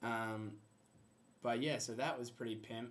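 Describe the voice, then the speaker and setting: A man with an Australian accent speaks at a moderate pace and medium pitch in a monotone, flat way. Audible room echo surrounds his voice. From Australia, Perth. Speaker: exchange student vlogger. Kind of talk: casual video blog. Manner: casual, filler-heavy.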